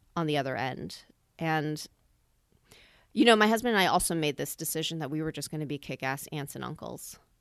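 Lively intonation and big swings in loudness mark this fairly quick delivery with long, frequent pauses. The recording is very clean, with a silent background. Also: woman, very deep, low pitch for a woman. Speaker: actor and director. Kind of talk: personal story in interview.

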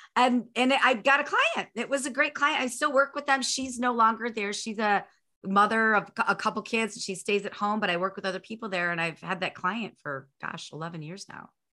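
Bright and sharp in tone, a woman speaks fairly quickly at a fairly high pitch, with lively intonation and hardly any pauses. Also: big swings in loudness. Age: 40s. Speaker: sales coach and author. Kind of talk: interview conversation.

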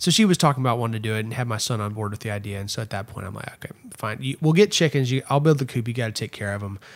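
Speech in a Texan accent rushes at a very fast pace, with ordinary pitch variation and big swings in loudness. The recording is very clean, with a silent background. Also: man, medium pitch for a man. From Texas, Erath County. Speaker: political consultant. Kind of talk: casual chat. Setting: home studio.

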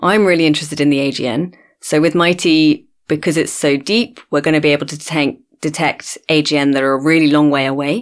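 A woman with a southern English accent speaks at a fairly quick pace, her pitch very deep and low. Her pitch variation is ordinary, and the recording is very clean with a silent background. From London, England. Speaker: astronomer. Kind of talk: interview. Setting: studio.

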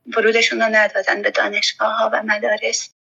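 A woman speaks at a moderate pace. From Herat, Afghanistan. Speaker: teacher and school founder. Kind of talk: interview testimony.

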